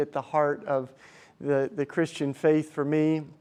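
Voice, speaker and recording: Over a quiet background, a man with an American accent talks fairly slowly. His intonation stays monotone and flat. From US South, Tennessee. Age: 40s. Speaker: activist and speaker. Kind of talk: talk to a live audience. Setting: stage with audience. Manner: casual, halting with many restarts.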